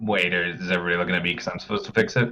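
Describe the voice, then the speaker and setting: A man's put-on character voice, raspy and very deep, with fairly even intonation and a very fast pace. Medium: actual play.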